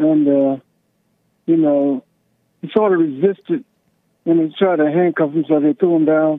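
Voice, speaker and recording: A man speaks at a fairly slow pace with a fairly high pitch and ordinary pitch variation. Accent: American. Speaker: caller. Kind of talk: heated debate. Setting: phone call.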